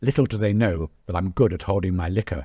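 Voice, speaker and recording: This man's voice is very deep and low, somewhat breathy, with a British accent. His pitch moves in an ordinary way, and the recording is very clean with a silent background. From England. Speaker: travel blogger and author. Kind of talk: reading aloud from own memoir.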